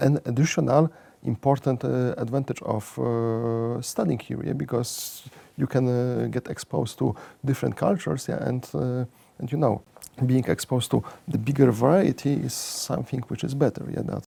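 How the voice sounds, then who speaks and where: A speaker with a Polish accent, recorded over noticeable background noise. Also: man, medium pitch for a man, ordinary pitch variation, moderate pace. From Poland. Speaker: economics professor. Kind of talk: interview. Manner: halting, many fillers and repeats.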